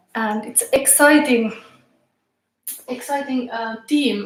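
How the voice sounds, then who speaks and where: Over music in the background, a woman speaks very slowly at a high pitch with ordinary pitch variation. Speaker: tarot reader. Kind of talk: live tarot reading. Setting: live stream in tarot room. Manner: halting.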